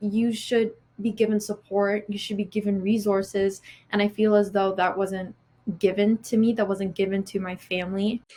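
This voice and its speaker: Her tone is dark and mellow, and somewhat breathy, at a medium pitch. The woman's intonation is monotone and flat, her pace moderate. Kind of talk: interview answer.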